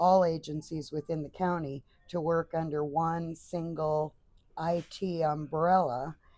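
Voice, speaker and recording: A woman's very deep, low voice with a dark, mellow tone, monotone, flat intonation and an American accent. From Southern California. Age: 60s. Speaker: retiree. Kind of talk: interview.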